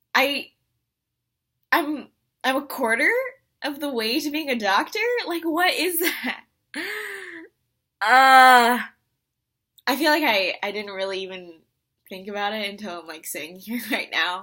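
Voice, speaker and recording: High-pitched and bright, sharp in tone, a woman speaks at a fairly slow pace with long, frequent pauses, very wide pitch swings and big swings in loudness, on a very clean recording with a silent background. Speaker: medical student vlogger. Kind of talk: casual video diary.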